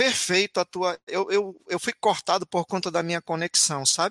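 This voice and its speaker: Recorded very cleanly against a silent background, a man talks at a fairly slow pace in a high pitch. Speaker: educator. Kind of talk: casual chat.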